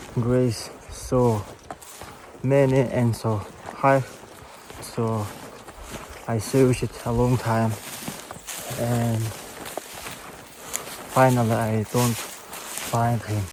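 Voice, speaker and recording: Through noticeable background noise, a man with a medium pitch speaks at a very slow pace in a monotone, flat intonation, leaving long, frequent pauses. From Yakutia, North-Eastern Siberia, Russia. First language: Yakut (Sakha). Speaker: hunter. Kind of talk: casual talk to camera. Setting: outdoors.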